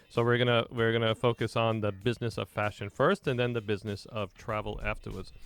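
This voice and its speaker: A man speaks at a medium pitch with a New York accent. The recording is very clean, with a silent background. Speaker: radio host. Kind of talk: radio talk show interview.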